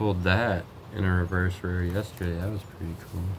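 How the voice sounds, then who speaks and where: At a moderate pace, a man with a very deep, low voice speaks over noticeable background noise. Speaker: card collector vlogger. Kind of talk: casual vlog chat. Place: home room. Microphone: phone near.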